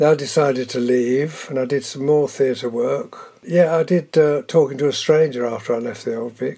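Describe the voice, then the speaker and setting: A man with a southern English accent, his pitch fairly high and its variation ordinary, over noticeable background noise. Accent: southern English, drama-school trained. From southern England. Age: 80s+. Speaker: veteran soap actor. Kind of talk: interview.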